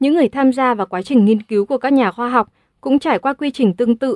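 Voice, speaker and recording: A fairly high-pitched woman with lively intonation at a very fast pace, in a dry, close sound with no echo and a quiet background. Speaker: audiobook narrator. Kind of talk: audiobook reading.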